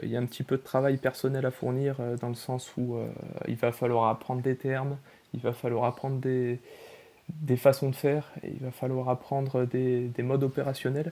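A man's dark, mellow tone comes through at a moderate speed. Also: medium pitch for a man. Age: 20s. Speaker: rail freight operator. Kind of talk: interview. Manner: halting.

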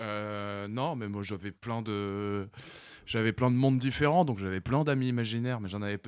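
An unremarkable speaking voice from a man, fairly low in pitch with ordinary pitch variation and a moderate pace, on a very clean recording with a silent background. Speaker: studio technician and co-producer. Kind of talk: casual radio chat.

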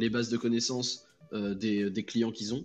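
A man speaks in a normal speaking voice at a moderate pace and a medium pitch. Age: 20s. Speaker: freelance customer service agent. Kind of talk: casual chat.

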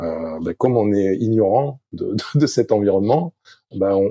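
The speech has a fairly slow pace. The sound is dry and close with no echo. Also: man. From southwest France, Arcachon. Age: 50s. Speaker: sailing coach and former Olympic sailor. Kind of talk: interview. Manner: halting, many hesitations.

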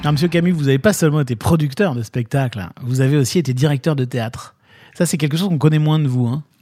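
A man speaks very fast in a fairly high, somewhat breathy voice. His tone is dark and mellow, with ordinary pitch variation. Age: 40s. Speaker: podcast host. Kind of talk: interview.

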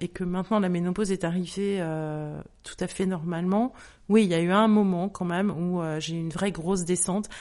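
A woman's dark, mellow tone at a moderate pace, with fairly even intonation. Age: 50s. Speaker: author and menopause awareness account creator. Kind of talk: testimony.

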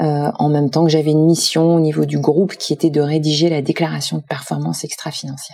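A woman's very deep, low voice with a dark, mellow tone, monotone and flat, at a very fast pace. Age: 50s. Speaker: foundation president. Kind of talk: interview.

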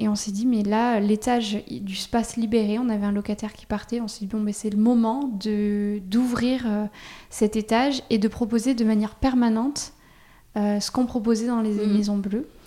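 A woman with fairly high pitch and a dark, mellow tone speaks at a fairly slow pace. Her intonation is flat and monotone, while her loudness swings widely. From France, Auvergne. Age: 30s. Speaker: cosmetics brand co-founder. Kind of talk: interview. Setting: spa.

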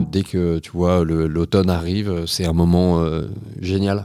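Monotone and flat, a man's very deep, low voice carries a dark, mellow tone in a very clean recording with a silent background. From western France (Nantes). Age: 30s. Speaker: entrepreneur. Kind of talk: interview. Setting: office.

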